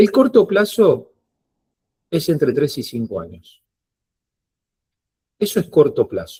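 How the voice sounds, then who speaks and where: A man speaks very slowly, with long, frequent pauses. His loudness swings widely. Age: 50s. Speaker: financial advisor. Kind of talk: online workshop talk.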